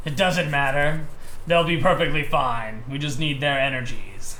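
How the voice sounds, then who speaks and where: A man's put-on character voice, fairly high in pitch and smug in tone, with clear background noise. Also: moderate pace. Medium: actual play. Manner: smug, condescending.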